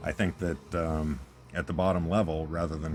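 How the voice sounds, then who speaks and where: A man speaks quietly. His voice is very deep and low. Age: old. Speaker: gaming YouTuber. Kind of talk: casual gameplay commentary. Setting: at home, recording on tablet. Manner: quiet, talking low. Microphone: tablet's small built-in mic.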